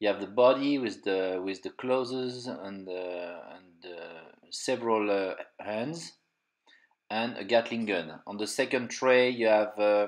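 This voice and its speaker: In a French accent, a man speaks at a fairly slow pace and a fairly low pitch, with big swings in loudness. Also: ordinary pitch variation, quiet background. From France. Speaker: toy collector and reviewer. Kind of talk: unboxing review. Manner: halting, many fillers.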